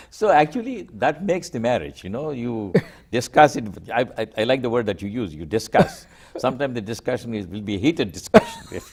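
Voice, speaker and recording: A man talks at a fairly quick pace with a medium pitch. His loudness swings a lot, and his pitch swings very widely. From India, Andhra Pradesh. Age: 80s+. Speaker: environmental engineer. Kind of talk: interview. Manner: hesitant, with many fillers.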